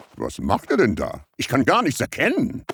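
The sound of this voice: A man puts on a cartoonish character voice and speaks at a moderate pace.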